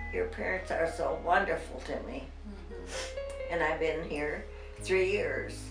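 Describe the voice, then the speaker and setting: With clear music in the background, a woman speaks at a very slow pace. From Nebraska. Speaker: interviewee. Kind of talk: interview answer. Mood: emotional, reminiscing. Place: home room.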